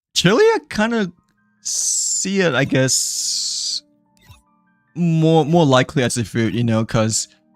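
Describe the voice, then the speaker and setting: Dry, close sound without echo, music playing in the background. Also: man. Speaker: gaming streamer. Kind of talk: casual live stream chat. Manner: stuttering, many fillers.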